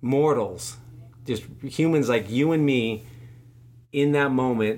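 A man at medium pitch, very slow in pace, with ordinary pitch variation and audible room echo. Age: 40s. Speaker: podcast host, cancer patient. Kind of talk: casual interview, personal testimony.

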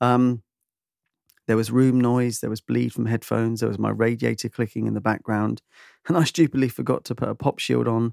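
A man with a British accent speaks at a fairly quick pace, his pitch medium and his tone dark and mellow. The sound is dry and close, with no echo. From UK. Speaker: podcast host and musician. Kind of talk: casual chat. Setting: video call. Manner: animated.

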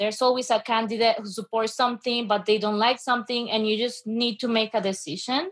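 A woman's fairly high voice in a Spanish accent, fairly quick and fairly even, with hardly any pauses. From Venezuela. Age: 20s. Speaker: student and radio assistant producer. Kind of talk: panel discussion.

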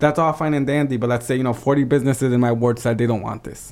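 At a medium pitch, a man talks in a normal speaking voice. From Holyoke, Massachusetts. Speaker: city council candidate. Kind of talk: interview.

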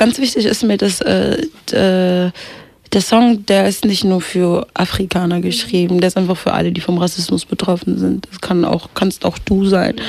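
A woman talks fairly slowly. Behind her voice there's noticeable background noise. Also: medium pitch for a woman, fairly even intonation. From Kenya. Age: 20s. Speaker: rapper and singer. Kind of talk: interview.

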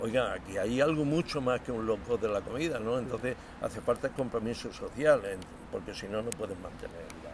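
Over noticeable background noise, a man speaks at a fairly quick pace and medium pitch with ordinary pitch variation. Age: 70s. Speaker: restaurant co-founder. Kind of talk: interview. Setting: restaurant.

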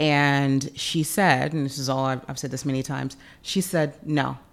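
At a moderate pace, a woman with a very deep, low pitch and an American accent speaks with fairly even intonation, recorded very cleanly with a silent background. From Memphis, Tennessee (US South). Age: 40s. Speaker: event production consultant. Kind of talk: interview.

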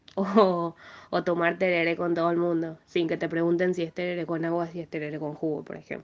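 Over a quiet background, a woman with a fairly low voice speaks in a monotone, flat way. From Paraguay (Asunción). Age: 20s. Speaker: music student and piano teacher. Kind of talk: interview testimony.

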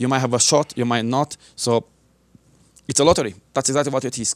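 On a very clean recording with a silent background and a dry, close sound with no echo, a man speaks at a very fast pace with medium pitch and ordinary pitch variation. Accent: non-native. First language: not English. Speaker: martial arts instructor and military veteran. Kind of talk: interview. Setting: local TV studio.

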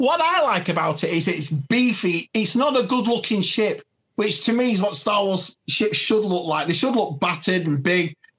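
In a strong British accent, the speaker keeps a moderate pace with hardly any pauses. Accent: thick British. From UK. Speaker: collector and furniture business owner. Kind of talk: casual chat.

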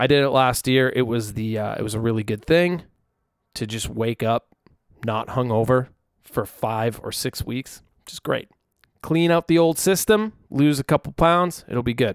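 Using a normal speaking voice, a man talks at a moderate pace with a medium pitch and lively intonation. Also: dry, close sound with no echo. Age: 30s. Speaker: musician and podcast host. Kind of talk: casual solo chat. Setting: alone in a room without headphones. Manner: relaxed, filler-heavy.

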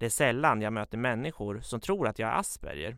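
A man's unremarkable speaking voice at medium pitch and moderate pace, on a very clean recording with a silent background. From Sweden, Katrineholm (Södermanland). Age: 20s. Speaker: journalism student telling his life story. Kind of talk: personal narrative, scripted. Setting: studio.

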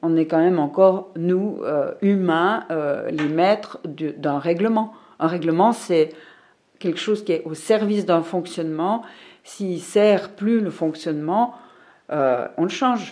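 A woman speaks very slowly in a fairly low pitch with a dark, mellow tone, ordinary pitch variation, and long, frequent pauses. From Switzerland, Fribourg. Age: 50s. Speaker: librarian. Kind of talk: casual interview.

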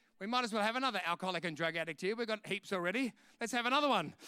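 A man with an Australian accent speaks at a very fast pace and a high pitch in a raised, projected voice. His tone is animated, bright and sharp, his intonation lively, on a very clean recording with a silent background. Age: 50s. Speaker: preacher. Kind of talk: sermon.

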